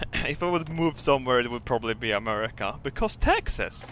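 Over noticeable background noise, a man speaks in a Swedish accent at a moderate pace. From Sweden. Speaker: gaming streamer. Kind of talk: casual live-stream commentary. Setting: live stream. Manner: animated, halting with repetitions.

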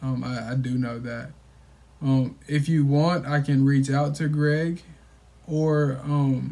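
A man's dark, mellow voice, somewhat breathy. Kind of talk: sales phone call. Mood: calm, reassuring. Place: home room. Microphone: phone near.

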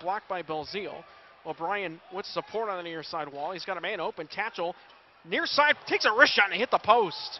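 Excited in tone, a man speaks at a high pitch with ordinary pitch variation over light background noise. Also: big swings in loudness, dry sound with no echo. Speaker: hockey play-by-play announcer. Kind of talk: live sports commentary. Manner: rapid-fire, excited play-by-play that swells at goals; fluent, breathless call of each pass and shot. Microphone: headset.

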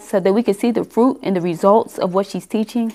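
A woman at a fairly quick pace. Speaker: church member leading opening prayer. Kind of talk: prayer. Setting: church. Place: meeting room. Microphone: headset.

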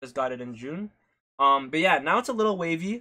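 A man talks at a fairly quick pace with a fairly high pitch. His tone is bright and sharp. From Canada. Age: 20s. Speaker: streamer and barber. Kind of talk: live-stream hair tutorial. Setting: live stream at home. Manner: casual, chatty. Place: home room. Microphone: phone near.

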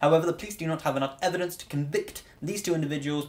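The man rattles along at a very fast pace. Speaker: student vlogger. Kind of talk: explanatory vlog talk. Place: home room.

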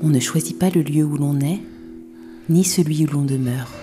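Music plays in the background as a woman speaks at a moderate pace. Her voice is very deep and low. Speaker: voice-over artist. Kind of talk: poetic voice-over narration for an animated short film.

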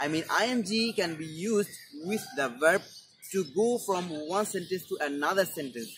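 Over noticeable background noise, a man with a Bengali accent speaks in a high pitch with lively intonation. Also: moderate pace. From Bangladesh. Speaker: English teacher YouTuber. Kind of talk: tutorial. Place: garden. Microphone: lapel.

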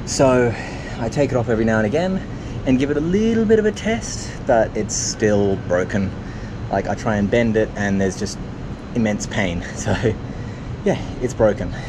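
Pausing long and often, a man talks at a moderate pace with ordinary pitch variation amid noticeable background noise. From Australia, New South Wales. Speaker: triathlon vlogger. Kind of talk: casual vlog to camera. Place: waterside. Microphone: phone near.

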